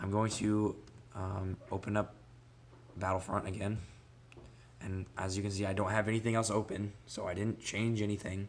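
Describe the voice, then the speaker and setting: A man with a fairly low pitch speaks in a monotone, flat intonation at a moderate pace, broken by long, frequent pauses. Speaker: gaming tech youtuber. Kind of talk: tutorial. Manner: casual with many fillers.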